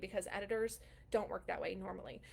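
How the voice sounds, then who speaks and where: A woman's fairly high-pitched voice. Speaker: writing and publishing coach. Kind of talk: live stream Q&A tutorial. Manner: fast; casual with many fillers.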